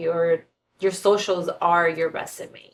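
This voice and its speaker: A woman speaks with a Spanish accent in a fairly low pitch. Her pace is fairly slow. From San Diego, US-Mexico border (born Tijuana). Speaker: fashion and film stylist. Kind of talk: casual interview.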